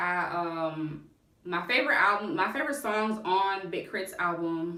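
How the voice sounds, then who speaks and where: With audible room echo, a woman talks fairly slowly at a medium pitch with ordinary pitch variation. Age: 20s. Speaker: music review youtuber. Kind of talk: casual vlog. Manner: halting.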